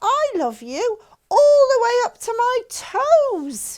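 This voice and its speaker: Squeaky and very slow, a put-on character voice delivers the lines. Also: woman, extremely high pitch for a woman. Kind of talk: bedtime story. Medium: read story.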